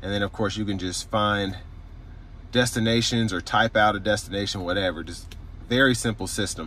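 Speaking at a fairly quick pace, a man with a fairly low pitch uses fairly even intonation and a bright, sharp tone in a dry recording with no echo. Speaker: car reviewer. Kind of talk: product review walkthrough. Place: car. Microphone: phone near.

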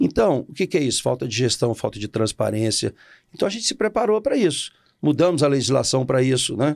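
Against a quiet background, a man with a fairly high pitch talks at a fairly quick pace, his pitch swinging very widely. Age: 60s. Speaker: politician. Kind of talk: interview. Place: studio. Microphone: studio mic.

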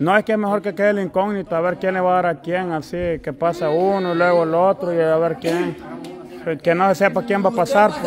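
The speaker has a Salvadoran accent and talks at a fairly quick pace. Noticeable background noise runs throughout. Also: man, high pitch for a man. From El Salvador. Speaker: family vlogger. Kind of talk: casual chat. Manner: animated. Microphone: phone near.

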